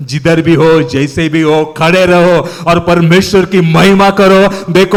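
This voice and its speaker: A man speaks with a high pitch. Noticeable background noise can be heard behind him. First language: Marathi (speaking Hindi). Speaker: preacher. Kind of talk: sermon.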